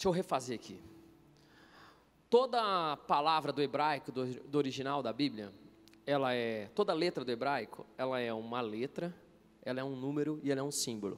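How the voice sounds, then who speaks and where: Pauses come long and frequent. Pitch variation is ordinary. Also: man, fairly high pitch for a man. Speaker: preacher and interpreter. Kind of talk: sermon. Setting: stage with audience at a conference. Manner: fast.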